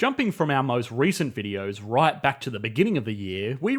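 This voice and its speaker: Against background music, a speaker with an Australian accent talks at a fairly quick pace with very wide pitch swings. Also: man. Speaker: economics YouTube narrator. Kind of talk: scripted narration.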